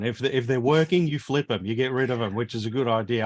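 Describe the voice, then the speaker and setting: This man speaks with an Australian accent at a medium pitch. His intonation stays fairly even. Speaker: live stream host, retro computer hobbyist. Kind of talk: casual chat. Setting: live stream video call.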